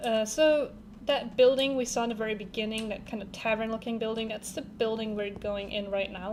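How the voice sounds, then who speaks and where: Speaking at a moderate pace with a German accent, a woman keeps her fairly high voice in fairly even intonation. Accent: German-sounding pronunciation. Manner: casual, gameplay commentary.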